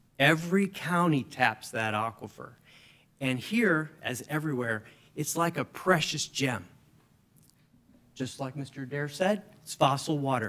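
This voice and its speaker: With an American accent, a man talks at a fairly slow pace in a fairly high pitch with ordinary pitch variation. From South Florida. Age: 60s. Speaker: hydrogeologist. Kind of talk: public comment testimony. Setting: county commission meeting. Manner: soft-spoken.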